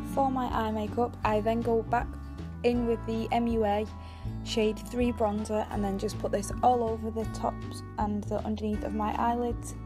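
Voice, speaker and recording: Behind a woman speaking at a moderate speed, clear music can be heard. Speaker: beauty vlogger. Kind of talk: casual makeup tutorial talk to camera. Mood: relaxed, modest, friendly. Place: home room. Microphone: phone near.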